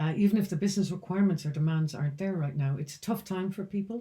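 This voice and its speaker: A woman speaks with an Irish accent at a fairly quick pace. Her voice is somewhat breathy, with ordinary pitch variation. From Ireland, County Roscommon. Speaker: founder of a speaker bureau. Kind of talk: business vlog talk to camera.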